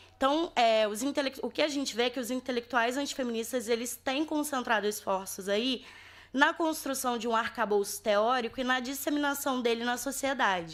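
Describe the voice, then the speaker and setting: With ordinary pitch variation, the speaking proceeds at a moderate pace. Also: woman, high pitch for a woman. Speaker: academic researcher. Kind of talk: academic presentation.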